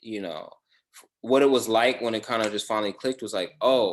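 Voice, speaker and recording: A man speaks with an American accent in a plain, everyday voice. His pitch is medium, with fairly even intonation. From Los Angeles, then Georgia. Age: 30s. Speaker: podcast host and actor. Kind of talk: casual interview chat.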